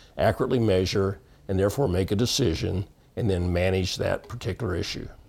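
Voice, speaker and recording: At a fairly quick pace, a man with a fairly low pitch talks in a normal speaking voice with ordinary pitch variation. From Texas panhandle. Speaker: water quality industry veteran. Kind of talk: interview.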